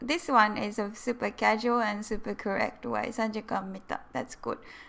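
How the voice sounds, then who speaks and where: A woman with a Japanese accent, fairly high-pitched, at a moderate pace, with vocal fry and ordinary pitch variation. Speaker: Japanese language teacher. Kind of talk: live-stream language lesson. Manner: animated.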